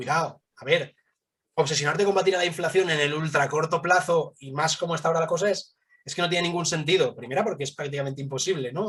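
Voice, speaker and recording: A man talks at a very fast pace. His pitch is high for a man. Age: 30s. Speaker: fund manager. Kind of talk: interview.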